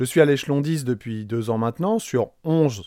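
A man with an unremarkable speaking voice at medium pitch and lively intonation, on a very clean recording with a silent background. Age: 40s. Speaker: teacher trainer and podcast host. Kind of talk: personal monologue podcast.

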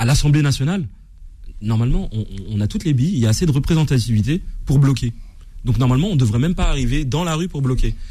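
At a very fast pace broken by long, frequent pauses, a man speaks with lively intonation in a dark, mellow, somewhat breathy tone of medium pitch. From France, Seine-Saint-Denis. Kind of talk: heated debate.

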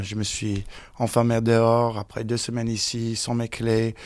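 A man talks with an English accent. The recording is very clean, the background silent. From United States. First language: English (speaking French). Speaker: interviewee. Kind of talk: interview.

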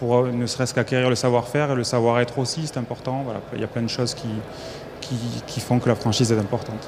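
Amid noticeable background noise, a man talks at a very fast pace. His medium-pitched voice stays monotone and flat. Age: 40s. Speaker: franchisee, home care agency director. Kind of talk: panel interview. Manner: hesitant, repeats words.

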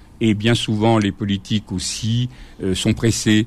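This man has an unremarkable speaking voice, fairly low in pitch and delivered at a fairly slow pace. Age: 60s. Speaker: former teacher and school inspector. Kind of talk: radio interview.

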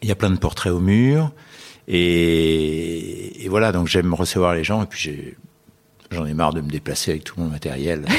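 A man speaks at a fairly slow pace in a very deep, low pitch, with ordinary pitch variation. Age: 80s+. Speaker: portrait photographer. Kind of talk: interview conversation. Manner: halting.

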